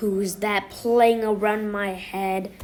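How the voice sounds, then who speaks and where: Amid clear background noise, a woman growls in a put-on character voice at medium pitch with monotone, flat intonation. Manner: growling, menacing.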